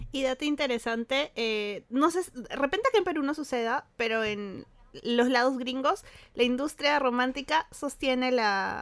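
The recording is very clean, with a silent background. A woman with a high pitch talks at a fairly slow pace with ordinary pitch variation. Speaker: podcast co-host. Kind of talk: casual chat.

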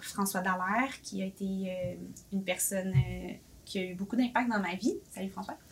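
Here a woman speaks with a normal speaking voice at a moderate pace. Her pitch is medium, with ordinary variation. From Quebec, Boisbriand. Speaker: café owner, entrepreneur. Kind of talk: casual interview.

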